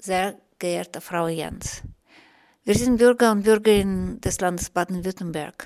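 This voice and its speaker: A woman with a Russian accent speaks at a medium pitch on a very clean recording with a silent background. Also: ordinary pitch variation. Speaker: radio host, interviewer. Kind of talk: radio interview, bilingual German and Russian. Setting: radio studio.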